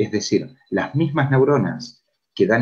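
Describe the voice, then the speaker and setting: A man speaks in a somewhat breathy voice. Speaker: physiotherapist and lecturer. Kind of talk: conference lecture.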